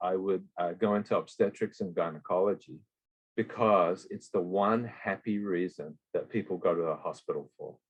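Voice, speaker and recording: A man with an Australian accent, fairly low pitch, and a moderate pace. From Western Australia. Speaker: emergency physician. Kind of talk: interview.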